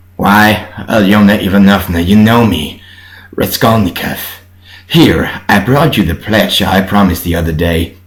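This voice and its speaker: At a moderate pace, someone puts on a strained character voice. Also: man, fairly low pitch for a man. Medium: read story. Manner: strained, halting.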